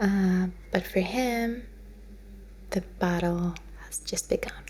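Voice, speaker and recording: Softly spoken and in a relaxed tone, a woman talks at a very slow pace over noticeable background noise. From lived in the Netherlands. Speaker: ASMR creator. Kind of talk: ASMR soft-spoken ramble. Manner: soft-spoken, relaxed.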